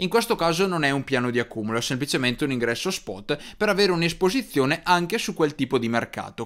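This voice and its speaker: Over a quiet background, a man speaks with lively intonation at a fairly high pitch. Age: 20s. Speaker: finance youtuber. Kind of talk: tutorial. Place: studio. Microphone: studio mic.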